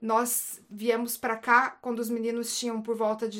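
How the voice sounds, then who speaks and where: A woman with a normal speaking voice talks at a moderate pace and a fairly high pitch. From Brazil, Paraná. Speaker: psychologist and missionary. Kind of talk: casual chat.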